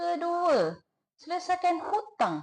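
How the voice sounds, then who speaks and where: A woman speaks very slowly at an extremely high pitch, with lively intonation. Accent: Terengganu. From Malaysia, Terengganu. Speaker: inheritance planning consultant. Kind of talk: tutorial. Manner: casual, repetitive.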